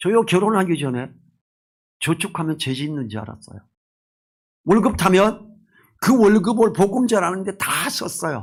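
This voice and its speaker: With a high pitch and lively intonation, a man speaks at a moderate pace, leaving long, frequent pauses. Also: big swings in loudness. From rural South Korea. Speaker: pastor. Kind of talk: sermon. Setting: church.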